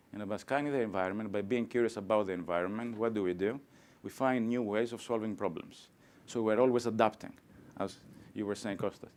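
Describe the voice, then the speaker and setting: A man's voice at a very fast pace with ordinary pitch variation. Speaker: professor. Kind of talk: lecture. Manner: animated.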